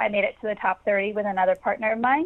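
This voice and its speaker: At a moderate pace, a woman speaks in an unremarkable speaking voice, fairly high in pitch with ordinary pitch variation. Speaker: comedian and actress. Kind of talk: casual interview. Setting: remote call from home.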